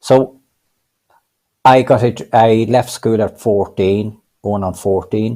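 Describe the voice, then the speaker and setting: This voice has a dark, mellow tone and fairly even intonation, with a Cavan accent. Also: man. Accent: Irish, Cavan. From Ireland, County Cavan. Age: 60s. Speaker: adult literacy learner. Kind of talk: panel interview. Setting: video call. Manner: halting, many repetitions.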